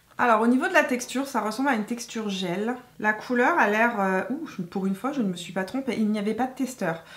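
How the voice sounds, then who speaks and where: Her voice sits fairly high. Noticeable background noise is present throughout. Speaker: beauty YouTuber. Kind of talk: makeup tutorial chat. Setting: home filming with ring light. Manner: hesitant, many fillers.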